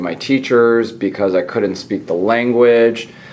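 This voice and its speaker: Over noticeable background noise, a man with a Californian accent talks fairly slowly at a medium pitch, with ordinary pitch variation. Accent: Californian American. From Southern California (born in Iran, via Italy). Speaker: physician and podcast host. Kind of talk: casual interview chat. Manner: hesitant, many fillers.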